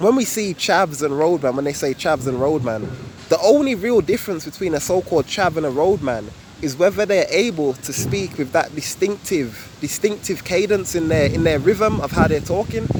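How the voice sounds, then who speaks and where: A man with a Birmingham accent, fairly high in pitch, lively intonation and a moderate pace, amid noticeable background noise. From England, Birmingham. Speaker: YouTuber. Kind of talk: casual vlog explanation. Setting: outdoors. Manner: casual, relaxed.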